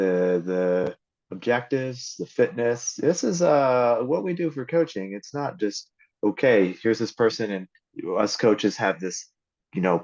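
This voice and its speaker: With a normal speaking voice, a man talks fairly slowly at a medium pitch, his intonation lively. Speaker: endurance coach. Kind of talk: podcast interview host.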